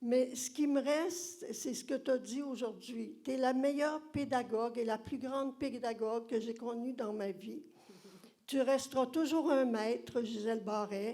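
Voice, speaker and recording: Using a Quebec accent, a woman talks at a fairly slow pace in a high-pitched voice with a dark, mellow tone and ordinary pitch variation. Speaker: former student. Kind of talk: audience tribute.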